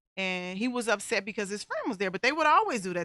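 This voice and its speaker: A woman speaks loudly at a medium pitch with a bright, sharp tone. The sound is dry and close with no echo, on a very clean recording with a silent background. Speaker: talk show host and domestic violence survivor. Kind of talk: personal testimony and advice monologue. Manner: voice rises when excited.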